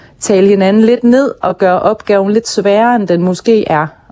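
A woman speaking at a fairly slow pace with fairly even intonation. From Hirtshals, North Jutland, Denmark. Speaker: actress and podcast host, author. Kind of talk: interview. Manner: hesitant, many filler sounds.

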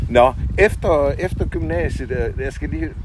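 Noticeable background noise accompanies a male speaker throughout the clip. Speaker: podcast host. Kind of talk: interview. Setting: outdoors in a garden. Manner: halting, many fillers.

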